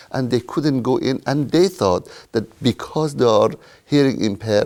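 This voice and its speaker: In a very clean recording with a silent background, a man with an Iranian accent speaks at a moderate pace with ordinary pitch variation. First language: Persian. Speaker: retired IT worker. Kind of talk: interview.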